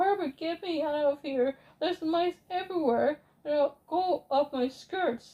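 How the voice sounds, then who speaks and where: A woman shouts in a shrill, put-on character voice with a high pitch. She keeps a fairly slow pace with hardly any pauses. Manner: screaming.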